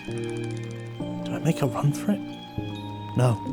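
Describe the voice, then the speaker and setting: A man speaks. Music plays in the background. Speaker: voice actor. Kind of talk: animated short film narration.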